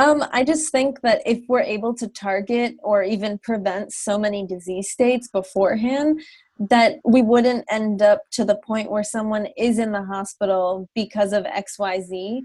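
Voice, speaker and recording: A woman with an American accent speaks at a fairly slow pace in a fairly high, somewhat breathy voice, with hardly any pauses. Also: ordinary pitch variation. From US Northeast, New Jersey. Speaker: pharmacist. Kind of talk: interview. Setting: video call.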